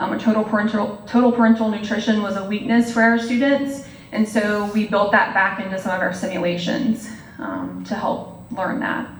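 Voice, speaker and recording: Amid noticeable background noise and audible room echo, a woman speaks at a fairly high pitch with fairly even intonation. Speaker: nursing professor. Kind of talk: lecture. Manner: fast.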